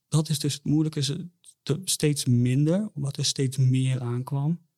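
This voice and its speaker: Somewhat breathy, a man speaks at a medium pitch with fairly even intonation. The sound is dry and close, with no echo. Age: 20s. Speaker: bereaved father. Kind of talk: personal testimony in interview. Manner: halting, many repetitions and fillers.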